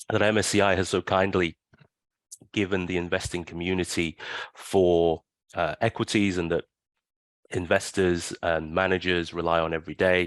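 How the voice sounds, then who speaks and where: A man with a very deep, low pitch talks in a monotone, flat intonation at a moderate pace, with long, frequent pauses. The sound is dry and close with no echo, over a quiet background. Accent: London. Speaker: financial benchmark company chief executive. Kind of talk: interview, casual.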